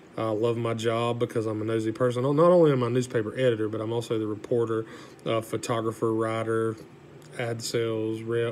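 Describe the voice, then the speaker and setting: A monotone, flat delivery at a fairly quick pace, with a Southern US accent. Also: man, medium pitch for a man. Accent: Southern US (Georgia). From US South, south Georgia. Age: 30s. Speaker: college student, newspaper editor. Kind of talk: class speech, self-introduction. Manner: casual, hesitant with fillers.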